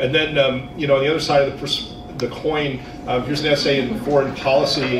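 A man races along at a very fast pace while noticeable background noise fills the recording. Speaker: conference presenter. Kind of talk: lecture. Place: hall.

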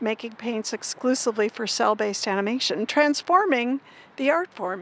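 With a moderate pace and ordinary pitch variation, a woman speaks in a high pitch, the sound dry with no echo. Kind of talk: interview answer. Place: street. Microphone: handheld.

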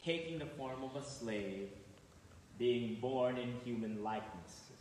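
Light background noise and audible room echo surround a man's voice. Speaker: clergy reader. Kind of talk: scripture reading. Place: church.

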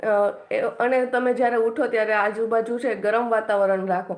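An unremarkable speaking voice from a woman, fairly high in pitch, with fairly even intonation. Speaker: YouTuber and exam aspirant. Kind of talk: study tips livestream. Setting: live stream. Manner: casual, with frequent filler pauses.

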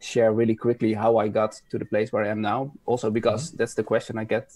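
Over a quiet background, a man speaks in a monotone, flat intonation with a dark, mellow tone and a dry sound with no echo. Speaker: guest. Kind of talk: conference talk intro, casual. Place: home room. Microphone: video call.

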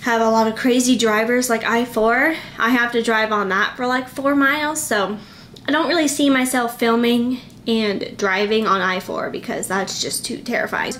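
In an American accent, a woman with a high pitch and ordinary pitch variation talks at a moderate pace against light background noise. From Florida. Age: 20s. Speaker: vlogger, college student. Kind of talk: casual vlog talk to camera.

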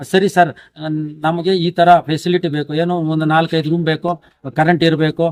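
This man talks in a high, monotone voice with flat intonation. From Karnataka, Chikkaballapur district. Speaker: retired school teacher. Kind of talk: interview.

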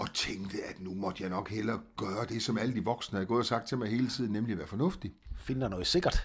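A man talks at a very fast pace with a fairly low pitch, a somewhat breathy sound and ordinary pitch variation. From Southern Jutland, Denmark (Als, Augustenborg). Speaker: singer. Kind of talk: interview. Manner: hesitant, many fillers.

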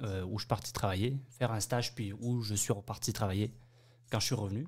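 Long, frequent pauses break up a man's speech, which moves at a moderate pace with fairly even intonation. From Bayonne, southwest France; France. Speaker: French immigrant, hospitality worker. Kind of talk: interview. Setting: studio. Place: studio.

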